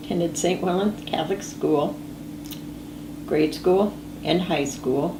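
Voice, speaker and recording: A woman's very deep, low voice at very even loudness, with long, frequent pauses, audible room echo and noticeable background noise. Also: ordinary pitch variation, fairly slow pace. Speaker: family history interviewee. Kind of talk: oral history interview. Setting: filmed interview. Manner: casual, with fillers.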